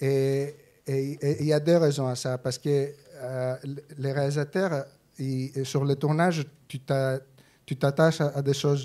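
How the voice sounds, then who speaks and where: With a Greek accent, a man speaks very slowly at a fairly high pitch, his dark, mellow tone held in monotone, flat intonation. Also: quiet background. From Greece. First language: Greek (speaking French). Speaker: film editor; guest. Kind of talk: interview. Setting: cinema stage with audience. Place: hall. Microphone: studio mic.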